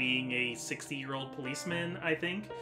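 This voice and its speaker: Music plays in the background as a man with a fairly high pitch speaks at a moderate pace. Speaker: gaming YouTuber. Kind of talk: casual let's-play commentary. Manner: hesitant, many fillers.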